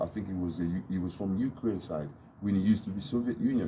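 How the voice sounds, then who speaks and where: The voice is somewhat breathy. It has a dark, mellow tone. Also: man. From DR Congo. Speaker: YouTube vlogger. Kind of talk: casual monologue vlog.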